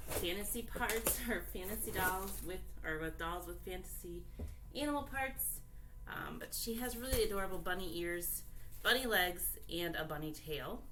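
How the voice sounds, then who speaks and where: Audible echo from the room surrounds a woman's voice. Background noise is noticeable too. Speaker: doll collector YouTuber. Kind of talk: unboxing video, casual chat. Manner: deliberately loud; hesitant, many fillers.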